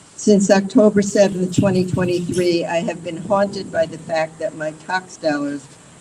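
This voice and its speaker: A woman at a fairly low pitch with ordinary pitch variation, over noticeable background noise. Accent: American. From New York City. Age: 70s. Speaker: retired attorney. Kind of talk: press conference speech. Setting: outdoors.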